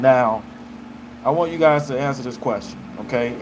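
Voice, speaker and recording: Audible room echo and noticeable background noise surround a man of medium pitch who talks at a fairly quick pace. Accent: Southern US. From US South, Arkansas. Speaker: live streamer. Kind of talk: casual chat. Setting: livestream. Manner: animated.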